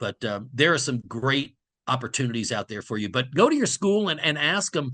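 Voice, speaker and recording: Against a quiet background, a man with a bright, sharp tone talks at a moderate pace in dry, close sound with no echo. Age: 60s. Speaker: sports broadcaster. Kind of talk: guest talk to a class over video.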